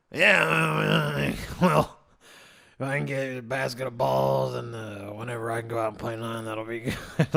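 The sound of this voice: A man puts on a gravelly character voice at a medium pitch. His pitch swings very widely, and his pace is moderate.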